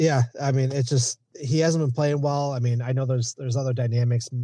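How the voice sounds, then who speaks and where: Against a quiet background, a man with medium pitch and a dark, mellow, somewhat breathy tone talks at a fairly quick pace in a monotone, flat intonation. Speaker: sports injury analyst. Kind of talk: injury report segment.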